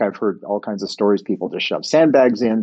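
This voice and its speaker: A man speaks with a Montreal accent. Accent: English Canadian (Montreal). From Montreal, Quebec (English-speaking). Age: 50s. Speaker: sports organization board chair. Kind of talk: interview.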